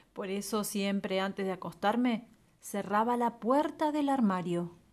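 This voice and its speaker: A woman with an Argentine accent speaks at a fairly slow pace, her medium pitch moving with ordinary variation, on a very clean recording with a silent background. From Argentina. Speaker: storyteller. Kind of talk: children's story reading.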